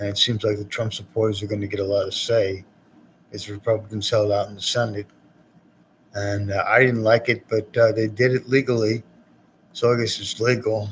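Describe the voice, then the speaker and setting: A man's fairly low, somewhat breathy voice, flat and monotone, at a fairly quick pace with long, frequent pauses. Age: 60s. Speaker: poet hosting cable access show. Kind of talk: rambling monologue. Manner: halting.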